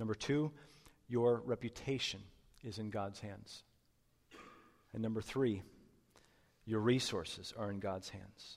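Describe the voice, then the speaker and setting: Speaking at a fairly slow pace with long, frequent pauses, a man with a medium pitch keeps his intonation fairly even. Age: 30s. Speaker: pastor. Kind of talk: sermon. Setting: church.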